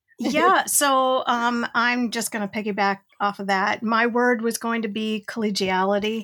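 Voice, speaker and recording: A woman's bright, sharp tone in an Inland North American accent, fairly slow with hardly any pauses, on a very clean recording with a silent background. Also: fairly high pitch for a woman, ordinary pitch variation. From Western New York. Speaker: educator and trainer. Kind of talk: casual chat.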